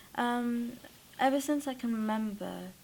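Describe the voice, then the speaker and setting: The speaker is a woman. She talks with a Welsh accent. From South Wales. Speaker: acting student. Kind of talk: interview. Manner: halting.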